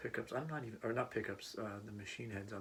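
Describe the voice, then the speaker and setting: Someone soft-spoken talks at a moderate pace. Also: man. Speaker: part-time musician and teacher. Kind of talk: casual vlog talk. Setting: home room, not a studio. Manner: halting.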